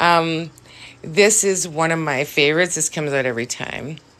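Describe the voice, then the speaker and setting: At a moderate pace, the speaker has a bright, sharp tone, a Canadian Prairies accent and ordinary pitch variation. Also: woman. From Saskatchewan, Canada. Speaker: live-stream witchcraft and crystal host. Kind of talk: casual live stream chat.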